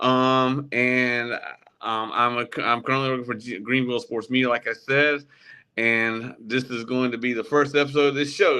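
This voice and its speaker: A man speaks in a bright, sharp tone with fairly even intonation. The background is quiet. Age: 40s. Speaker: sports podcast host. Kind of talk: casual interview. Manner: halting, many fillers.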